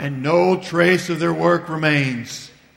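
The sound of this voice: A man does a put-on character voice at a fairly high pitch. He talks at a fairly slow pace.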